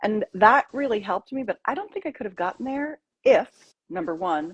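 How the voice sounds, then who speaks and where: The voice is somewhat breathy and moves through very wide pitch swings at a fairly quick pace, with a dry, close sound and no echo. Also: woman, fairly high pitch for a woman. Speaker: intimacy coach and author. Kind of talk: interview about personal trauma healing.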